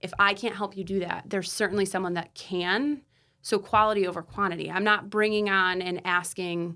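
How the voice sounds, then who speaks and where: Loud and bright with a sharp tone, a woman talks at a fairly quick pace and medium pitch on a very clean recording with a silent background. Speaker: therapist, counseling practice owner. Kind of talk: casual interview conversation. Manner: animated.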